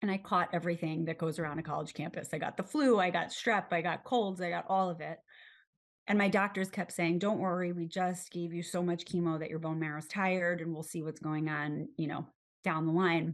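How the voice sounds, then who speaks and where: A woman with a plain, everyday voice speaks at a fairly quick pace, keeping a fairly low pitch and fairly even intonation. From New York City, Manhattan. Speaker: cancer survivor and patient advocate. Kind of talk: interview.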